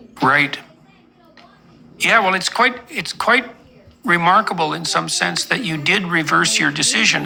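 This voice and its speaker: The speaker moves along at a moderate pace. Noticeable background noise runs under the voice. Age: 60s. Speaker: psychologist interviewer. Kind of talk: interview.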